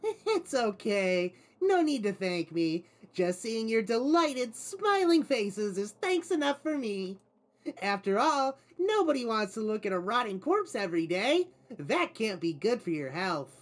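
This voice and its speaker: A man performs a put-on character voice, pitched high and delivered at a moderate pace. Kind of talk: visual novel read-through with character voices.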